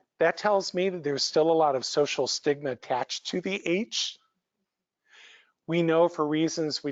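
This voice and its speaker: Speaking at a fairly slow pace, a man has a plain, everyday voice with ordinary pitch variation. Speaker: psychologist presenter. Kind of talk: lecture.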